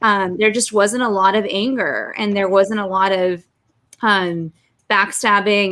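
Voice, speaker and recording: On a very clean recording with a silent background, a woman speaks at a moderate pace and medium pitch, her tone bright and sharp and her intonation monotone and flat. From Russia, moved to Los Angeles at five. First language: Russian. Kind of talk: interview.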